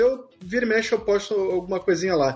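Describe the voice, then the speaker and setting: Amid noticeable background noise, a man speaks with a Rio de Janeiro accent at a moderate pace. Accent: carioca. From Rio de Janeiro, Brazil. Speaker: book editor and podcaster. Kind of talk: casual interview.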